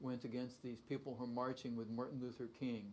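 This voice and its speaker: At a fairly quick pace, a man talks with a plain, everyday voice and a medium pitch. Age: 60s. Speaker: university professor. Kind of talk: talk show interview. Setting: studio.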